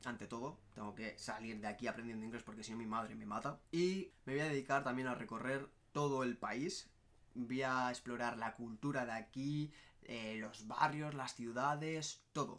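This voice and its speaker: The speaker is a man talking at a moderate pace. His pitch variation is ordinary. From Basque Country, Spain (Barakaldo, Bilbao); Basque Country, Spain. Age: 20s. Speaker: travel vlogger. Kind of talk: casual vlog monologue. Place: home room. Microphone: phone near.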